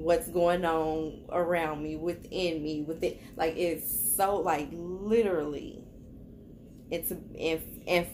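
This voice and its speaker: Over light background noise, a woman with a very deep, low pitch and vocal fry speaks at a very slow pace with fairly even intonation. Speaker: tarot reader vlogger. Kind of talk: casual vlog chat. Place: home room. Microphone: phone near.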